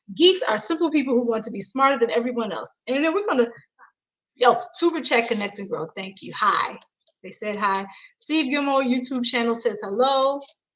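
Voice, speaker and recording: In an American accent, a woman with a high pitch speaks at a moderate pace in an animated tone, with lively intonation and big swings in loudness. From Michigan, US. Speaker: children's book author. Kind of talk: live stream reading and chat. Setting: live video stream.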